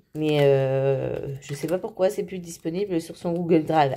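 Her voice is dark and mellow, pitched fairly low for a woman. She speaks at a fairly slow pace with ordinary pitch variation. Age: 30s. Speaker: budgeting YouTuber. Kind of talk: casual vlog tutorial. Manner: halting, many fillers. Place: home room. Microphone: phone near.

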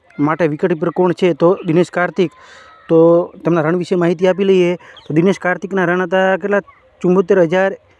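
The intonation is monotone and flat, with noticeable background noise. The sound is dry and close, without any echo. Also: man, high pitch for a man. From Gujarat, rural. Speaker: exam coaching YouTuber. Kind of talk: current affairs quiz tutorial.

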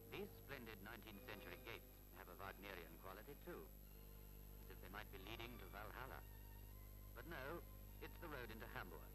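Clear background music behind a man talking at a fairly quick pace. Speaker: documentary narrator. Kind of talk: commentary.

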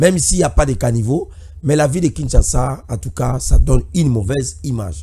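A man's medium-pitched voice, dark and mellow in tone with vocal fry, at a moderate pace over a quiet background. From DR Congo, Equateur province (Budjala); Equateur province, DR Congo. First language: Lingala and local dialect (speaking French). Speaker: political commentator and party activist; political commentator. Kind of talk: political commentary. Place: studio. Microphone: studio mic.

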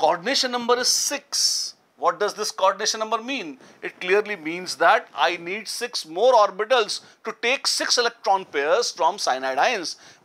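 Bright and sharp in tone, a man speaks in a raised, projected voice. His intonation is lively and his pace moderate. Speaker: chemistry teacher. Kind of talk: lecture. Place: studio.

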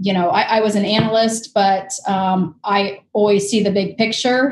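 A somewhat breathy woman speaks at a moderate pace, with audible room echo and light background noise. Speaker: guest. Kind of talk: interview answer. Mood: relaxed, friendly. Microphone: video call.

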